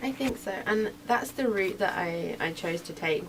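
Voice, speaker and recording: An American accent with ordinary pitch variation and noticeable background noise. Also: woman. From England. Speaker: racing driver. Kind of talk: radio interview.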